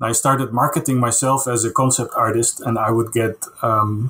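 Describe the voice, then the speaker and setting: With a Dutch accent, a man speaks at a moderate pace with fairly even intonation. Light background noise can be heard. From Netherlands (Castricum, North Holland). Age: 40s. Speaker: concept artist. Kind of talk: casual interview. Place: home room.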